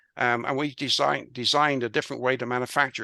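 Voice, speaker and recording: Speaking at a fairly quick pace in a West Country accent, a man has a bright, sharp tone and fairly even intonation, captured in a very clean recording with a silent background. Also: dry, close sound with no echo. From England, Bristol. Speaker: business consultant and author. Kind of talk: interview. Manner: halting, many fillers.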